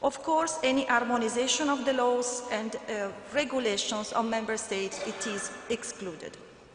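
A woman speaks at a high pitch and a moderate pace, with hardly any pauses. There is audible room echo and light background noise. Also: ordinary pitch variation. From Italy. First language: Italian. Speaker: conference moderator and EU policy officer. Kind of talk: conference moderation. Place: hall. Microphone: podium.

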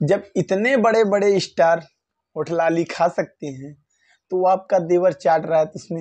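A man speaks at a fairly slow pace with a high pitch. His pitch variation is ordinary, and the background is quiet. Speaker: YouTube commentator. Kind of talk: casual vlog commentary. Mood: joking, mocking. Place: home room. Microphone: lapel.

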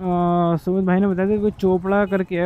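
The man's voice is high and clear with a smooth tone and little pitch movement.

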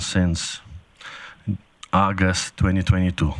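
Speaking with a non-native accent, a man delivers his words fairly slowly in a very deep, low, monotone voice with flat intonation. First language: not English. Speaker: shop owner, delegate to council. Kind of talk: delegation address to council. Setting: council chambers. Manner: halting.

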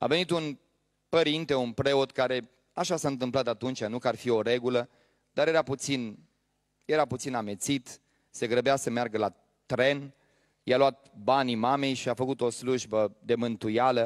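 A man with an unremarkable speaking voice, medium pitch and fairly even intonation, over a quiet background. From Romania. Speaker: pastor. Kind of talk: sermon. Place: church. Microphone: handheld.

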